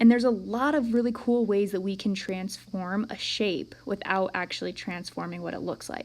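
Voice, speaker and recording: Using a normal speaking voice at medium pitch, a woman talks at a moderate pace with hardly any pauses, ordinary pitch variation and big swings in loudness. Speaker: math teacher. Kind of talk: recorded lesson. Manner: casual.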